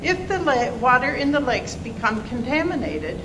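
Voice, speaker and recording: Audible room echo and noticeable background noise surround a woman's voice. She speaks at a moderate pace with very wide pitch swings. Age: 70s. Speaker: public hearing speaker. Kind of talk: public testimony. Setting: public hearing.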